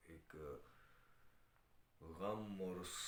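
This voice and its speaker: This somewhat breathy voice carries audible room echo. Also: man. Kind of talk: sermon on live stream. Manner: hesitant with fillers.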